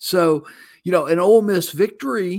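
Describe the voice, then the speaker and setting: The recording is very clean, with a silent background. The speech moves at a fairly slow pace. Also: man. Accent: American. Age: 50s. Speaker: college football reporter. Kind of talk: sports preview interview.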